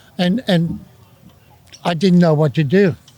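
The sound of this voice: A man's fairly high voice with a dark, mellow tone, fairly even intonation and a continental European accent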